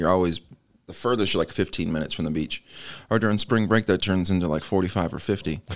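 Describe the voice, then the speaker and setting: Speaking at a very fast pace, a man with an American accent and a very deep, low pitch is heard on a very clean recording with a silent background. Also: ordinary pitch variation. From Nebraska and Florida. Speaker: army veteran, shelter ministry participant. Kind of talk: testimony.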